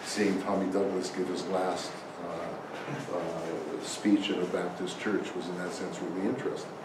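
A man speaks slowly-ish, at a fairly slow pace, in a fairly low pitch and monotone, flat intonation. Audible room echo and noticeable background noise fill the recording. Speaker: conference panelist. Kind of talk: lecture. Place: meeting room.

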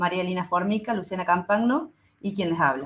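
Somewhat breathy, a woman speaks at a fairly quick pace with lively intonation. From Argentina. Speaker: university pharmacy lecturer. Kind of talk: presentation. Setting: video call. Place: home room.

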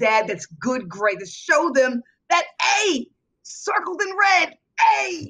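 A woman talks in an animated tone that is bright and sharp. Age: 50s. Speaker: football coach and motivational speaker. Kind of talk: interview.

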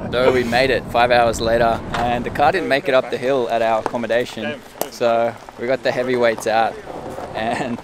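A man at a moderate pace, fairly even intonation, dry sound with no echo, and noticeable background noise. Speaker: vlogger. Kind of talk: casual vlog chat. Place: open country. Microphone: phone near.

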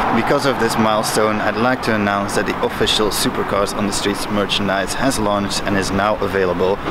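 A man speaks at a fairly quick pace with hardly any pauses. Loud background noise fills the recording. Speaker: channel host. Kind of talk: casual vlog chat. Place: street. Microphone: phone near.

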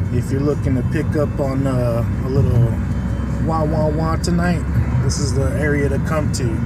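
Music plays in the background of a dry sound with no echo. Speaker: driver vlogger. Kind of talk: casual vlog chat. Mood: playful, joking. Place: car. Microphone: phone near.

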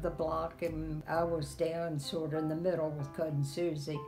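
A woman's very deep, low voice with clear music in the background. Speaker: interviewee. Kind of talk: interview answer. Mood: warm, reminiscing. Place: home room. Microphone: phone near.

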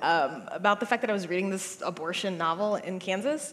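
Lively intonation marks this woman's speech with an American accent. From United States. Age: 20s. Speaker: novelist; guest. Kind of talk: panel discussion. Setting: stage with audience. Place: stage. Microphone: headset.

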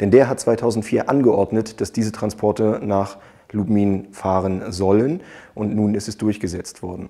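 Over a quiet background, a man with a fairly low pitch and a dark, mellow tone speaks fairly slowly with fairly even intonation. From Germany. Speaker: politician vlogger. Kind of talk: political video blog, addressing viewers directly. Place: office. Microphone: lapel.

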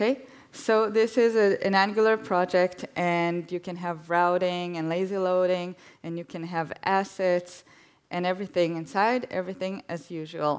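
At a moderate pace, a woman speaks with fairly even intonation against a quiet background. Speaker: guest speaker giving a demo; guest. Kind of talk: live demo on stage. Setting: stage with audience. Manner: hesitant, filler words. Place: stage.

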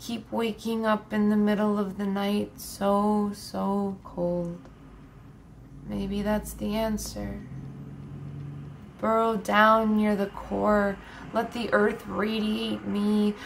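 Very slow speech with long, frequent pauses over light background noise. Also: woman. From Nebraska, USA. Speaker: poet. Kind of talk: poetry reading. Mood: quiet, somber, intimate. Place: home room. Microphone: webcam.

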